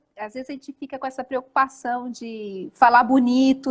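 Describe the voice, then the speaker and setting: Here a woman talks with a high pitch. She keeps a moderate pace. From Brazil, Jundiaí / Curitiba. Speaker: live stream host, wedding business coach. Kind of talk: casual live chat. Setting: live video stream.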